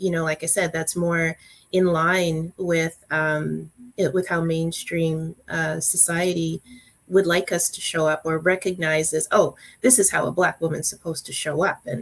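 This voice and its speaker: Soft-spoken, a woman talks at a fairly low pitch. Her intonation is fairly even. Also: moderate pace. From Calgary, Alberta, Canada. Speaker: workplace diversity guest. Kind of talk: panel discussion. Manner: halting, many fillers.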